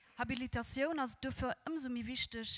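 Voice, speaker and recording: A woman at a moderate pace with ordinary pitch variation, in a quiet background. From Luxembourg. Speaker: event presenter; presenter. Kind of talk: event moderation. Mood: warm, welcoming. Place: hall. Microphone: handheld.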